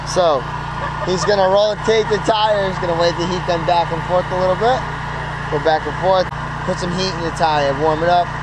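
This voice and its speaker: Moderate pace over loud background noise, with a dry, echo-free sound. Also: man. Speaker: vlogger at race pit. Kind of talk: casual vlog talk to camera. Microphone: phone near.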